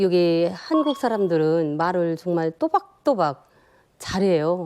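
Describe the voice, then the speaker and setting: A woman's dark, mellow voice at a medium pitch, lively in intonation, against a quiet background. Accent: North Korean. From North Korea. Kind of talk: casual, conversational.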